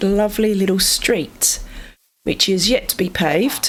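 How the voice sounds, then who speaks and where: A woman speaks with an Australian accent. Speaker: gaming video creator. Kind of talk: casual gameplay commentary.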